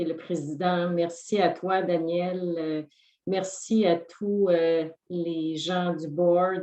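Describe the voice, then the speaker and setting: In a Quebec accent, a woman speaks at a fairly slow pace with a fairly low pitch and monotone, flat intonation. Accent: Quebecois French. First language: French. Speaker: award recipient. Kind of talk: acceptance speech. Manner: halting with fillers.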